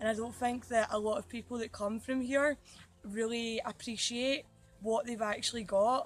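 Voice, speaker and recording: A woman with a Scottish accent and a fairly high pitch. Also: fairly even intonation, moderate pace. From Scotland. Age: 20s. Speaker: youth exchange participant. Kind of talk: interview.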